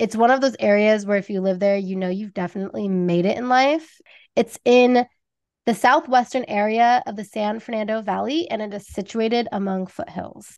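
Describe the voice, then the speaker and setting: A woman with an American accent speaks in a normal speaking voice at a moderate pace, her pitch fairly high with ordinary variation. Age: 30s. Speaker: true crime podcast host. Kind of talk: true crime storytelling.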